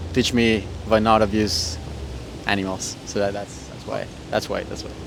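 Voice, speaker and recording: Speaking with a Spanish accent, a man with a fairly low pitch talks at a moderate pace with ordinary pitch variation, amid audible room echo and noticeable background noise. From Costa Rica. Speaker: street interviewee. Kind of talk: casual street interview. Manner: hesitant, many fillers.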